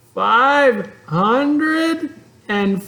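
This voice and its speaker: A high-pitched, put-on character voice carries the clip. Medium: read story. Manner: earnest, eager.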